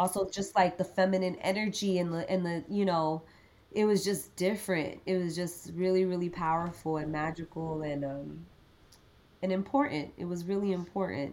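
In an American accent, a woman with a fairly low pitch speaks at a moderate pace. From Miami, Florida. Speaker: sound engineer. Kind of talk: casual chat. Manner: animated.

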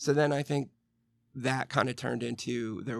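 A man with an American accent speaks at a fairly quick pace, using ordinary pitch variation and a touch of vocal fry. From Western Pennsylvania. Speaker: recovering alcoholic. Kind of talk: interview.

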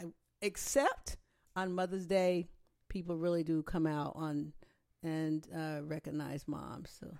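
At a fairly slow pace, a woman talks in a normal speaking voice with fairly even intonation. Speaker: host's mother, real estate agent. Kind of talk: casual interview conversation.

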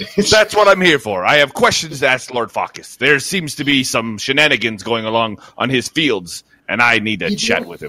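Using a gruff, put-on character voice, a man speaks at a medium pitch. He keeps a moderate pace with hardly any pauses. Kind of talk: tabletop in-character roleplay. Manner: gruff, blunt, aggressive tone.

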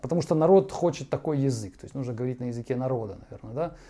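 A man's dark, mellow voice moves at a very fast pace with lively intonation. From Ukraine. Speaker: podcast host. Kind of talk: monologue commentary. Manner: halting.

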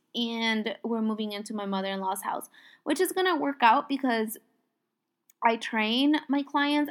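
The voice has an animated tone and a moderate pace. The recording is very clean, with a silent background. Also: woman. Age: 20s. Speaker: podcast host and coach. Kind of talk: casual monologue.

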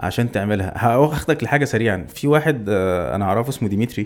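Speaking at a fairly quick pace, a man uses an ordinary speaking voice at medium pitch with ordinary pitch variation. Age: 30s. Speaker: adventurer who cycled and ran across Egypt. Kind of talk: casual chat. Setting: studio.

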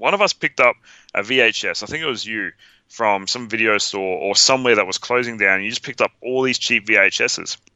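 A man talks fairly quickly with an Australian accent. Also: medium pitch for a man, ordinary pitch variation. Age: 30s. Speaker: podcast co-host, film fan. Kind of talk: casual chat. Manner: animated.

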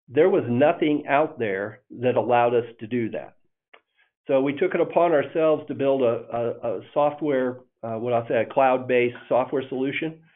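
A man with an American accent has a plain, everyday voice, speaking at a moderate pace with ordinary pitch variation. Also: medium pitch for a man. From northern Indiana. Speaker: electric cooperative CEO. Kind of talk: interview.

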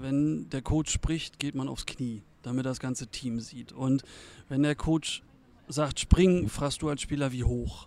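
Very slow speech from a man, medium in pitch, with ordinary pitch variation. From eastern Germany (former GDR). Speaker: volunteer football game day manager. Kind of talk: casual interview.

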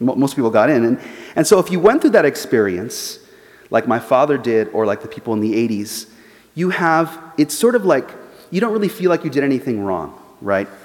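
A man with an American accent, fairly high-pitched, with very wide pitch swings at a fairly quick pace. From Los Angeles, US. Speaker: journalist and author. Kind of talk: lecture; audience Q&A. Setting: church forum with live audience.

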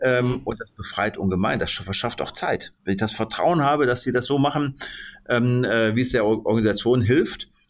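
With a plain, everyday voice at a medium pitch, a man talks at a moderate pace with ordinary pitch variation in a very clean recording with a silent background. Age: 60s. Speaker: business owner and managing director. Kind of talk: podcast interview.

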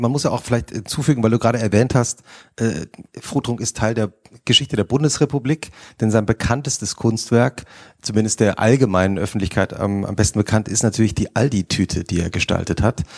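This man has an unremarkable speaking voice of medium pitch, talking at a fairly quick pace with ordinary pitch variation, dry and close with no echo on a very clean recording with a silent background. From Hesse. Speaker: magazine editor and moderator. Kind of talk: on-stage interview. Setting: stage with audience.

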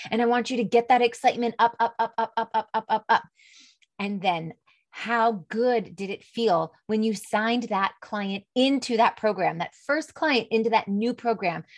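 A warm, upbeat tone with ordinary pitch variation at a moderate pace, music in the background. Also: woman, fairly high pitch for a woman. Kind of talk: pep talk. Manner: warm, encouraging, upbeat; coaxing, direct address.

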